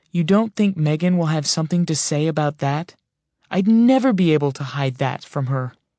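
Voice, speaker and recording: A raspy put-on character voice from a man, fairly high in pitch, with lively intonation, a moderate pace and a quiet background. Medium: read story. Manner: sarcastic.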